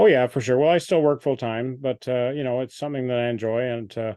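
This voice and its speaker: In a Canadian accent, a man talks at a very fast pace with a medium pitch and fairly even intonation. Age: 60s. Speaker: amateur radio operator. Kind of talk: club presentation Q&A. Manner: halting, many fillers.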